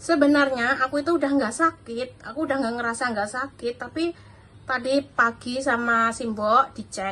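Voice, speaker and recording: A woman's high-pitched voice, bright and sharp in tone, moves at a moderate pace with ordinary pitch variation. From Java, Indonesia. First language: Javanese (speaking Indonesian). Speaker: vlogger, domestic worker; vlogger. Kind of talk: casual vlog talk; casual vlog chat. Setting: at home. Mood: relaxed, cheerful. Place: kitchen. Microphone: phone near.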